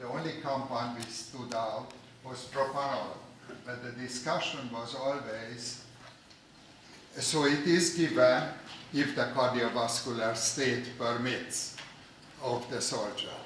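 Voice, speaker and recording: A man with a Hungarian accent speaks at a fairly slow pace and medium pitch, taking long, frequent pauses with fairly even intonation and big swings in loudness. Noticeable background noise and audible room echo surround him. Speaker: scientist, audience member asking question. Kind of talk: conference Q&A question.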